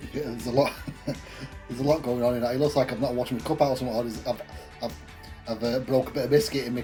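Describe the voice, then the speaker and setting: Music plays in the background as a man with an English accent speaks very fast. His pitch is medium, with ordinary variation. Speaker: craft beer reviewer. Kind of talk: casual talk to camera.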